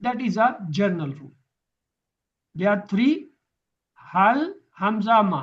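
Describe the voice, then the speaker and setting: The speaker has a Pakistani accent and a fairly slow pace. The pitch swings very widely. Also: man. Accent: South Asian (Pakistani) English. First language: Urdu. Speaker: Quran teacher. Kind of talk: lecture.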